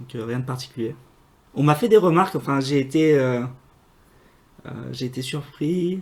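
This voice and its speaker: A man with a fairly high pitch talks at a moderate pace, pausing long and often. His pitch varies in an ordinary way, while his loudness swings widely. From northern France, Normandy (Le Havre area). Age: 20s. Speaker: aerospace engineer. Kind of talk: interview. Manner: hesitant, many fillers.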